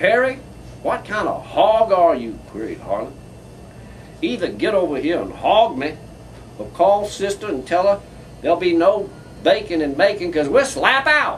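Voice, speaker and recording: A man speaks at a moderate pace in a high voice with very wide pitch swings. He leaves long, frequent pauses over noticeable background noise. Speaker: poet. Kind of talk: live comedic poetry reading.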